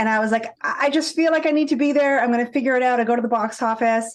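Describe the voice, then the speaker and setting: A woman with an American accent speaks at a high pitch, using ordinary pitch variation. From Boston area, Massachusetts. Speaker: fan and podcast listener. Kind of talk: casual interview chat. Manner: animated storytelling.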